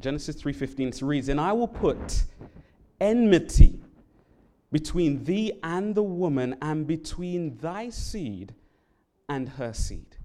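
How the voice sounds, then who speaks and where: The speaker has a London accent and talks at a very slow pace. Long pauses come often. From London, England. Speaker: Bible worker giving a sermon. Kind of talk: sermon. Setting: church.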